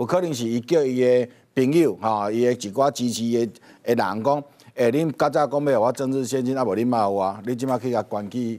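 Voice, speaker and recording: At a moderate pace and with ordinary pitch variation, the speaker talks over a quiet background. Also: man. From Taiwan. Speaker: talk show guest. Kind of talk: political talk show commentary. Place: studio.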